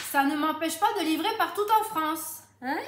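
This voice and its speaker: In a southern French accent, a woman projects a raised voice at an extremely high pitch with a bright, sharp tone, and audible room echo surrounds her. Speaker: home sales consultant. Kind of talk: cooking tutorial live stream. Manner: chatty, lively.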